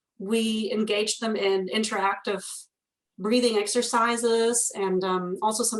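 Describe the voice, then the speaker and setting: A woman speaks with a German accent. Her intonation is flat and monotone. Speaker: instructional designer. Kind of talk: interview conversation.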